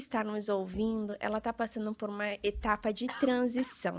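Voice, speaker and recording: With a plain, everyday voice, a woman speaks at a fairly high pitch and fairly even intonation in a very clean recording with a silent background. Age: 30s. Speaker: real estate entrepreneur and influencer. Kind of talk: podcast interview.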